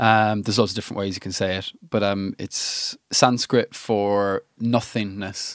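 Heard on a very clean recording with a silent background, a man with an Irish accent speaks at a fairly slow pace in a fairly low, monotone, flat voice, the sound dry and close with no echo. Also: hardly any pauses. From Ireland. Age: 30s. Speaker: musician and music producer. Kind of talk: casual chat. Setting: studio.

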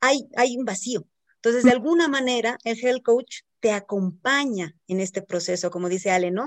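A woman with a normal speaking voice talks at a fairly high pitch with lively intonation, the sound dry and close with no echo. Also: moderate pace. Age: 40s. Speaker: health coach and podcast co-host. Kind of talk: casual chat.

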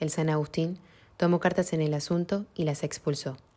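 A woman with a very deep, low pitch and a dark, mellow tone speaks fairly quickly in a flat monotone, on a very clean recording with a silent background. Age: 20s. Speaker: bullying survivor. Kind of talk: testimony.

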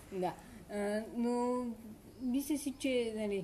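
The speaker is a woman with a dark, mellow tone. Her voice is somewhat breathy. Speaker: podcast co-host. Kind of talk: casual chat.

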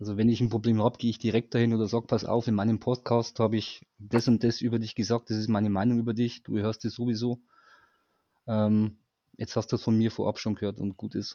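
A man talks very fast in a monotone, flat intonation. His tone is dark and mellow against a quiet background. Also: medium pitch for a man. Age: 40s. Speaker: fan guest. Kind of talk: casual chat.

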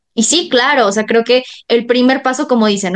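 Ordinary pitch variation and a moderate pace in a high-pitched woman's voice. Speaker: podcast host. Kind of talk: interview.

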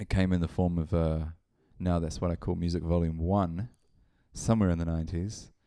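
A New Zealand accent with a dark, mellow tone and a monotone, flat delivery. Long, frequent pauses break up speech on a very clean recording with a silent background. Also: man, very deep, low pitch for a man, fairly quick pace. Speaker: DJ and event organiser. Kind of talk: casual chat.

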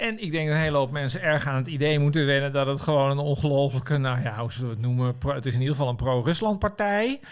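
A man's fairly high voice at a very fast pace, with ordinary pitch variation and hardly any pauses, on a very clean recording with a silent background. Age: 50s. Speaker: political commentator and writer. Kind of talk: casual chat. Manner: halting.

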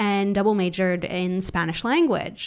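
A woman speaks with a Californian accent at a medium pitch. Her pace is moderate. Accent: American (California). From US, Los Angeles. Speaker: e-commerce consultant. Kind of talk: interview.

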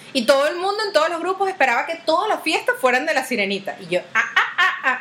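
Over noticeable background noise, a woman with a Venezuelan accent speaks very fast in a raised, projected voice, her animated tone marked by very wide pitch swings. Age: 30s. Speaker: podcast host. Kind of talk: casual monologue. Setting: video recording.

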